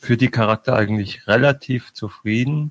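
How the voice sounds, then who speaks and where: This man has an unremarkable speaking voice at a medium pitch, with fairly even intonation. He talks at a moderate pace, and the sound is dry and close with no echo. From Bavaria, Munich. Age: 20s. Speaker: postman, podcast community member. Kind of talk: casual chat.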